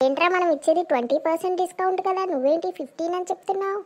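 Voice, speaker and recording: This woman uses a cartoonish character voice at an extremely high pitch. Her pace is fairly quick. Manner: bossy, scolding.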